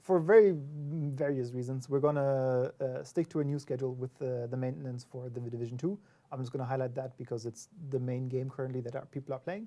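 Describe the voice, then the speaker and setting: With a non-native accent, someone talks fairly quickly. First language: not English. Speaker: game developer community representative. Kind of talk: livestream discussion.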